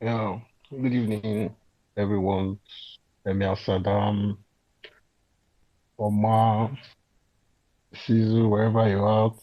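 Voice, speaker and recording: A very slow, flat, monotone delivery broken by long, frequent pauses. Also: man, fairly low pitch for a man. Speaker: speaker in online audio room on Nigerian politics. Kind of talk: casual political discussion.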